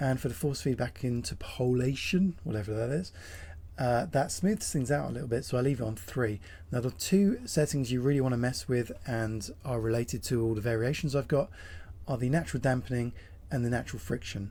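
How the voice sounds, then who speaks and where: This man's voice is medium-pitched, dark and mellow, and somewhat breathy. He talks at a fairly quick pace. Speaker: sim racing content creator. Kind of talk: tutorial talk to camera. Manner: casual.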